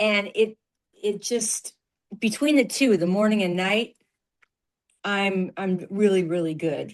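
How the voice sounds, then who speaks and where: Speaking with an American accent, a woman goes at a very slow pace with long, frequent pauses and ordinary pitch variation. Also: medium pitch for a woman. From South Jersey near Philadelphia. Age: 70s. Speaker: customer giving testimonial. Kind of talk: testimony.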